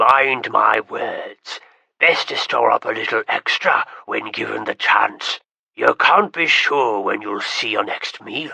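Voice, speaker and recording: A man uses a raspy, put-on character voice at a fairly slow pace. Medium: read story. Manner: gruff, folksy.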